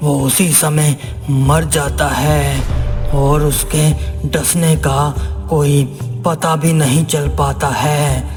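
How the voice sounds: Over loud background music, a man does a cartoonish character voice at a very slow pace.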